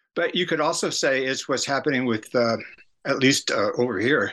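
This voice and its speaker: In a quiet background, a man with an American accent speaks at a moderate pace, his fairly high pitch carrying a bright, sharp tone and lively intonation. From San Francisco area. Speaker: author and cultural critic. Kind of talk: interview.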